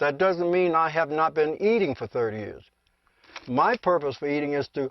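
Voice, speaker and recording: Here a man talks at a moderate pace in a plain, everyday voice. His pitch is fairly high and his intonation lively. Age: 60s. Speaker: breatharian and sungazing practitioner. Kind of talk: documentary interview.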